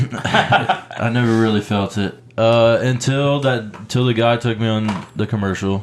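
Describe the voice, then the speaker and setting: Fairly even intonation marks this voice with an American accent, at a fairly slow pace with hardly any pauses. Noticeable background noise sits underneath. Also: man, medium pitch for a man. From North Carolina. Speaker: actor and filmmaker. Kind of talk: casual chat.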